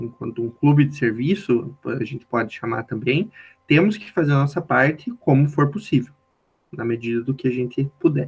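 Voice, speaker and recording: This man speaks with a strong southern Brazilian accent at a moderate pace. His voice is somewhat breathy, medium in pitch, with ordinary pitch variation. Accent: strong southern Brazilian countryside. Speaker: youth organization national leader. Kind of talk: podcast interview.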